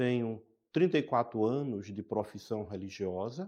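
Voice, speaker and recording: A man speaks at medium pitch and a moderate pace, his tone dark and mellow. His pitch varies in an ordinary way, and the background is quiet. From Brazil, Pernambuco (Caruaru). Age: 60s. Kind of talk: interview.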